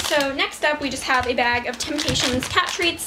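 Over noticeable background noise, a woman talks at a moderate pace in a raised, projected voice with ordinary pitch variation. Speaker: pet vlogger. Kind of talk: casual vlog chat. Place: home room.

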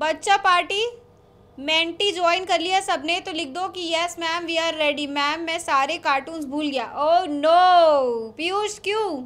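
Very slow delivery with ordinary pitch variation. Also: woman, extremely high pitch for a woman. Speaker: online teacher hosting a quiz. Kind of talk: casual live class chat, reading chat messages aloud. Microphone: studio mic.

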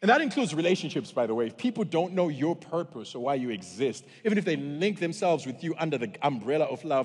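Over a quiet background, a man with a fairly high pitch talks at a fairly quick pace in an animated tone, with very wide pitch swings and vocal fry. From Zimbabwe, Bulawayo; Zimbabwe. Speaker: pastor. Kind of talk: sermon. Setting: church. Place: stage.

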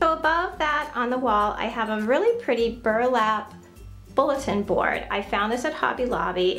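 Over faint music in the background, a woman speaks at a moderate pace in a high pitch with ordinary pitch variation. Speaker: home decor vlogger. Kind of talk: casual home tour narration. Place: bathroom. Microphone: phone near.

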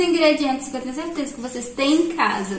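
A high-pitched woman's voice with ordinary pitch variation carries audible room echo. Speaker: home cook vlogger. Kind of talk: tutorial. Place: kitchen. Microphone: phone near.

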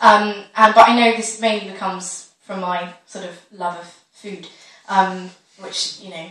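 Audible room echo surrounds a woman who speaks at a moderate pace with fairly even intonation. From British. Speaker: comedian. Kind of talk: stand-up comedy talk to audience. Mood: chatty, self-deprecating. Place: stage. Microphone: camera far.

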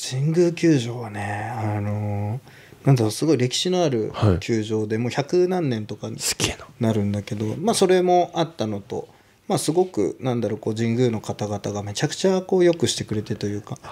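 This man speaks at a moderate pace with medium pitch, lively intonation, and a dark, mellow tone. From Hokkaido, Japan (Asahikawa); Hokkaido, Japan. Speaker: street fashion brand founder; podcast guest. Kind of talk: casual chat. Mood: relaxed, reflective. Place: studio. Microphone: studio mic.

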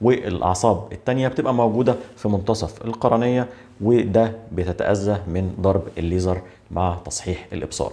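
In an Egyptian accent, a man speaks at a fairly slow pace, his fairly low voice dark and mellow in tone. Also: ordinary pitch variation. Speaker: eye doctor. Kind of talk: medical explainer video. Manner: conversational. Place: office.

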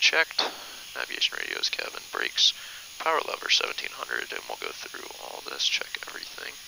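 The speech moves at a fairly quick pace with big swings in loudness. The sound is dry with no echo, over noticeable background noise. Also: man. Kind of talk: checklist read-out. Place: plane. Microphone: headset.

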